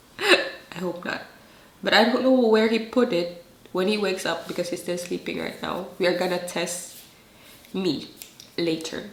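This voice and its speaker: A woman with a Filipino accent at medium pitch, ordinary pitch variation, long, frequent pauses, audible room echo and noticeable background noise. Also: moderate pace. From Philippines. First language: Filipino dialect. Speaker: vlogger. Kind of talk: casual vlog talk. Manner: talkative.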